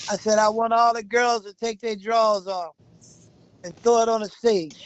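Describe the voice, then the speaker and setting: This man speaks at an extremely high pitch. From Mississippi. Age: 70s. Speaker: retired army veteran and former DJ. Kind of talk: life story interview.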